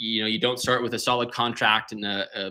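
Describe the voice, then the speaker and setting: On a very clean recording with a silent background, a man at medium pitch has a bright, sharp tone and fairly even intonation. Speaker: remodeling contractor. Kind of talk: live-stream presentation. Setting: live stream with screen share. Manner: fast; halting, many fillers and repeats.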